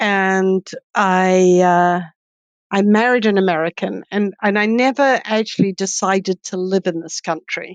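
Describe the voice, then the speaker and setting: In a New Zealand accent, a woman speaks at a fairly slow pace. The sound is dry and close with no echo, over a quiet background. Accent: light New Zealand. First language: Swedish. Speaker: economist and professor. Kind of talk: interview.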